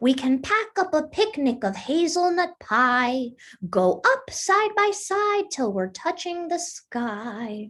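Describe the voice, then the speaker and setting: In a put-on character voice, a woman speaks high and fairly slowly, her pitch swinging very widely. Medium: read story.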